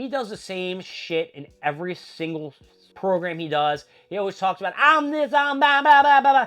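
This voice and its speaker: Background music can be heard. The delivery is moderately paced. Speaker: wrestling commentary podcaster. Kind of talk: casual review monologue. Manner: casual, halting.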